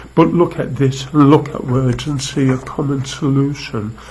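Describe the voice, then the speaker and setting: This man's medium-pitched voice keeps a fairly even intonation while noticeable background noise plays behind him. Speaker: activist poet. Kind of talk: poetry reading. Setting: live video stream.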